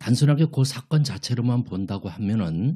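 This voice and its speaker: A man speaks at a fairly slow pace with lively intonation and a dark, mellow tone, on a very clean recording with a silent background. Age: 60s. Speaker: church deacon, guest. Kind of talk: radio interview. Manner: formal.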